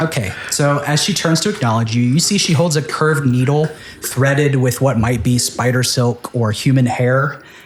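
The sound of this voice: What we hear is an unforced reading voice.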